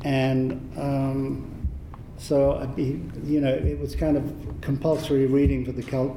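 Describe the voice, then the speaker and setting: A fairly slow, monotone, flat delivery in an English accent, with audible room echo and noticeable background noise. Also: man, medium pitch for a man. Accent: English accent, still noticeable. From southern England (Watford, Hertfordshire). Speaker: film visual effects artist and cinematographer. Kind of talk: convention panel interview. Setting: stage with audience.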